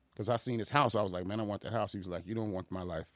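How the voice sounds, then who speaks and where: A man's fairly low voice with an American accent. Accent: New York tinge when excited. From Boston, Massachusetts, then Aurora, Illinois. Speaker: community organization leader. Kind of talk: casual interview.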